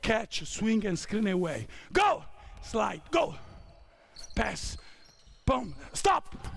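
A man shouting at a high pitch and a very slow pace, with very wide pitch swings, over light background noise. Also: dry sound with no echo. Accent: Italian. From Italy. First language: Italian. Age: 50s. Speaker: basketball coach. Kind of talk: coaching clinic. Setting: basketball court with players. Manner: shouted on-court commands. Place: hall.

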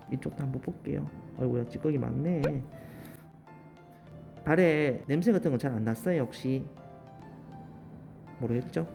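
Music plays in the background while the speech moves at a moderate pace. Long pauses come often. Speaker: toenail care specialist. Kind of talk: casual talk to client during treatment.

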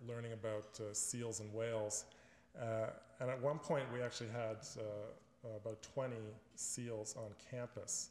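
A man with a Canadian accent at a fairly slow pace, fairly even intonation and audible room echo. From Canada, Ontario (Richmond Hill); Ontario, Canada. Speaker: environmentalist and author; alumnus guest lecturer. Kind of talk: lecture. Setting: stage with audience. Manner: halting, many fillers and repeats. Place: hall. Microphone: podium.

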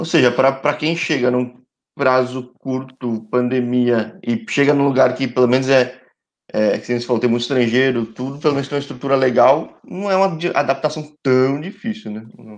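A man's ordinary speaking voice, medium in pitch, with ordinary pitch variation and a moderate pace. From Brazil, São Paulo. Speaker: sports channel host. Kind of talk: casual interview livestream. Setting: live stream. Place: home room. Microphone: video call.

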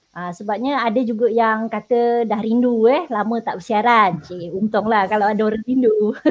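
With a normal speaking voice, a woman talks at a moderate pace in a fairly high pitch with fairly even intonation. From Sabah, Malaysia. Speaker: secondary school teacher. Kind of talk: online tutoring lesson.

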